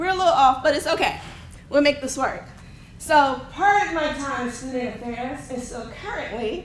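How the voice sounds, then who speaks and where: A woman's high, shaky voice moves at a moderate pace with big swings in loudness. The room echoes audibly and background noise is noticeable. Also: lively intonation. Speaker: academic advisor and instructor. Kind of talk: conference presentation.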